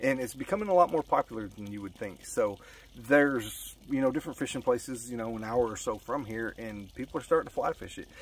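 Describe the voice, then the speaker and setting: A man with an American accent speaks at a very fast pace in a medium pitch with ordinary pitch variation and big swings in loudness, the sound dry with no echo and light background noise. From Colorado. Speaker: fly fishing youtuber. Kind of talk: casual vlog monologue. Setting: outdoors by a pond. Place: waterside. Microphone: phone near.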